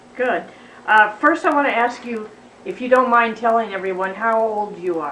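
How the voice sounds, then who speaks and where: Noticeable background noise behind a fairly high-pitched female voice. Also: ordinary pitch variation, moderate pace. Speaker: college student. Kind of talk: interviewer questions.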